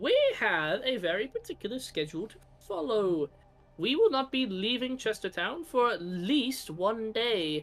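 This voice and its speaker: A man uses a put-on character voice pitched high, with faint music in the background. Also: moderate pace. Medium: actual play. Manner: curt, haughty, self-important.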